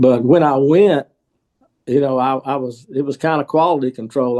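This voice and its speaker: With a Southern US accent, a man speaks fairly quickly at medium pitch, his dark, mellow tone carrying fairly even intonation in a dry, close sound with no echo. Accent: Southern US (Georgia). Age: 70s. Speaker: restaurant owner. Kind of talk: interview.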